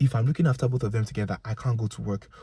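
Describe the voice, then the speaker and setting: A man speaks at a medium pitch with ordinary pitch variation. His tone is animated. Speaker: video blogger. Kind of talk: casual monologue. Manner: loud.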